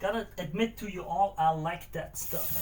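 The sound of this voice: The tone here is slightly mellow. Delivery runs at a moderate pace with ordinary pitch variation. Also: man, high pitch for a man.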